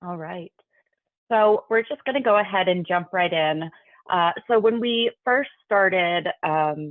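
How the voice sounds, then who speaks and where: A woman's ordinary speaking voice, medium in pitch with ordinary pitch variation, at a fairly slow pace. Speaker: state health agency staff presenter. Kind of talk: webinar presentation.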